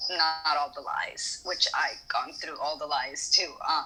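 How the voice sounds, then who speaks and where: A woman talks very slowly, with noticeable background noise around her. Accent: Spanish. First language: Spanish. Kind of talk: casual chat.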